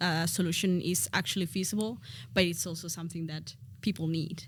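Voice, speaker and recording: Vocal fry runs through this fairly quick delivery in a Spanish accent. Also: woman. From Spain. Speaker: education expert. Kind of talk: casual interview.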